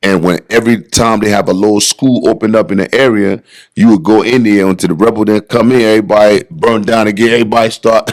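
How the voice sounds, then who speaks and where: An American man talks at a very fast pace, his pitch fairly low, with hardly any pauses. His tone is animated and his loudness stays very even. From Liberia. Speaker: bodybuilder. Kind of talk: podcast interview, personal life story. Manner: animated, conversational.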